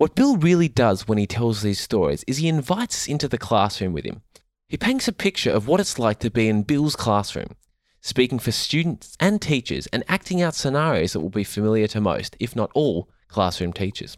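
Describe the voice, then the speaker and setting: A man's medium-pitched voice at a fairly quick pace, with very wide pitch swings, in a dry, close sound with no echo on a very clean recording with a silent background. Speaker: podcast host. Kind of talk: interview. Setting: home lounge room.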